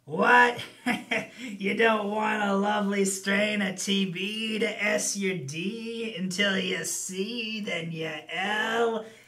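A man puts on a character voice, pitched high and raised to project. His intonation stays fairly even and his pace is very slow.

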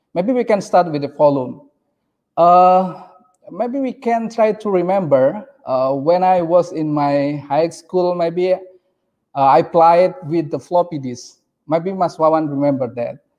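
Speaking at a fairly slow pace with an Indonesian accent, a man with a high-pitched voice is heard against a quiet background. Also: ordinary pitch variation. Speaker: PhD researcher; presenter. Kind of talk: conference presentation. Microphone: video call.

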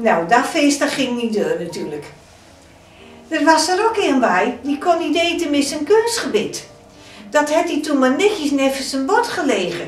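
A woman speaks at a fairly slow pace in a high voice with a South Holland accent. Faint music plays in the background, and the room echo is audible. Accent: Hoeksche Waard dialect. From Hoeksche Waard, Netherlands. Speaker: storyteller. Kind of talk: folk story telling. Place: home room.

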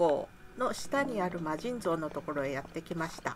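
Pitch swings very widely at a moderate pace, over noticeable background noise. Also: woman. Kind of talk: casual gameplay commentary.

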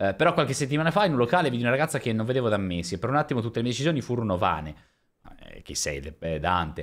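A man at a very fast pace, with vocal fry and very wide pitch swings, against a quiet background. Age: 30s. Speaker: streamer. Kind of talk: casual chat. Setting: live stream. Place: home room. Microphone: studio mic.

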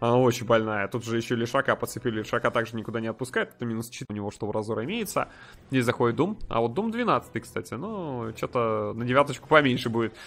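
Talking very fast, a man with a medium-pitched voice shows ordinary pitch variation. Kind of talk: esports match commentary. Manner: fast, animated play-by-play, reacting excitedly to fights; casual, conversational, with sarcastic asides.

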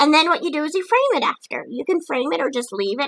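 A woman's raised, projected voice, bright and sharp in tone, animated, with lively intonation at a fairly quick pace. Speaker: craft and book video creator. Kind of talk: casual vlog chat. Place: home room. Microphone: webcam.

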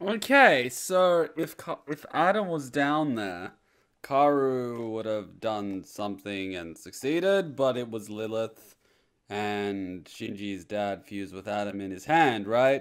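Lively intonation marks a man speaking at a very slow pace against a quiet background. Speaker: video creator. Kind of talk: casual vlog chat. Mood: amused, mock spooked. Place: home room. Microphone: studio mic.

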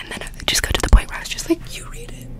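Over loud background noise, a woman is whispering. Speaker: ASMR content creator. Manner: whisper behind a cupped hand. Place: home room. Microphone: studio mic.

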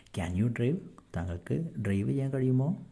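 A man speaks in a dark, mellow tone that is somewhat breathy. His pitch swings very widely. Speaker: English tutor. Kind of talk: tutorial.

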